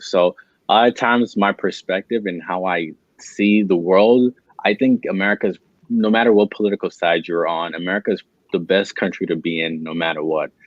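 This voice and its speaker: The speech moves at a fairly quick pace. Its intonation is fairly even. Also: man, fairly low pitch for a man. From born in Italy, left at about seven, raised in the US. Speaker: YouTube investing creator. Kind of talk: casual chat. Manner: halting, many fillers and repeats.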